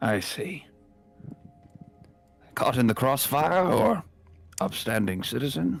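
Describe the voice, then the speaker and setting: Putting on a raspy character voice at a medium pitch, a man swings his pitch very widely and speaks at a fairly slow pace with long, frequent pauses over faint music in the background. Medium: actual play. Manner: clipped, official.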